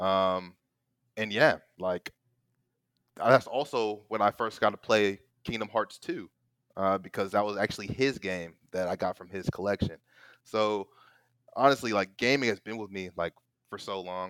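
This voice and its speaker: At a moderate pace, a man with a fairly low pitch and fairly even intonation speaks with big swings in loudness and long, frequent pauses, in a very clean recording with a silent background. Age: 20s. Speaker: gaming company marketing employee. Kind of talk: casual chat. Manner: halting.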